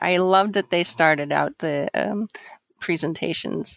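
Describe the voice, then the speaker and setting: A woman with a plain, everyday voice and an American accent, ordinary pitch variation, a fairly slow pace and a dry, close sound with no echo. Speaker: organizer of international exchange program.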